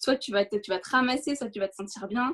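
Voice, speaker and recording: A woman's somewhat breathy voice at a fairly quick pace, with ordinary pitch variation. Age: 20s. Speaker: race walker. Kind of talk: interview.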